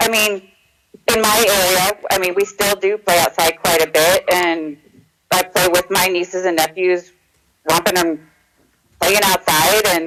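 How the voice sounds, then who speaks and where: Fairly slow speech with long, frequent pauses. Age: 30s. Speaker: caller. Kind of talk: casual chat.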